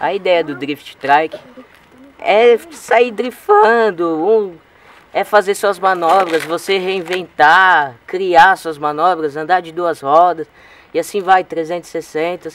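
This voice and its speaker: A man with a high pitch speaks at a very slow pace with ordinary pitch variation. The sound is dry with no echo, over light background noise. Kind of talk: explainer interview answer. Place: street.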